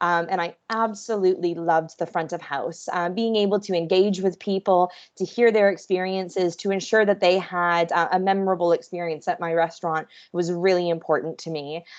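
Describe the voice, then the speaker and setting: Over a quiet background, a woman with a Canadian accent talks fairly quickly at a fairly low pitch with fairly even intonation. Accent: Canadian, noticeable. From Canada, Vancouver. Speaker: hospitality professional. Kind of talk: webinar talk. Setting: video call.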